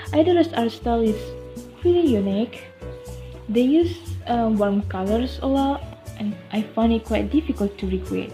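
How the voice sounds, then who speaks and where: With music playing in the background, a woman speaks at a moderate pace, leaving long, frequent pauses. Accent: non-native. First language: not English. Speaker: amateur watercolor artist. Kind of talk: casual art video voice-over.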